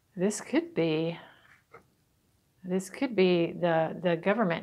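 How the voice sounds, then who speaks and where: The intonation holds fairly even. A woman is the one talking. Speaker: tarot reader. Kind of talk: tarot reading talk to camera. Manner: casual. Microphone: phone near.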